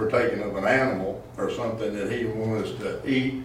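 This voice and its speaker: In a Southern US accent, a man speaks at a fairly quick pace with medium pitch and fairly even intonation. Audible room echo and noticeable background noise are present. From Arkansas. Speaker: pastor. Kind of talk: Bible study teaching. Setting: church.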